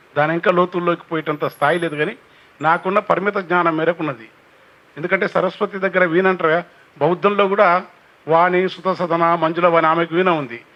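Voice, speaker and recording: The man has a high pitch and fairly even intonation. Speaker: poet and folk singer. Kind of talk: public speech on cultural heritage.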